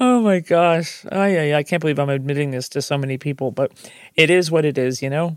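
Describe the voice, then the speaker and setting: A woman with an American accent has a very deep, low pitch for a woman. She talks at a fairly quick pace with ordinary pitch variation. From New Jersey. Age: 60s. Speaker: podcast host. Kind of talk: personal storytelling monologue.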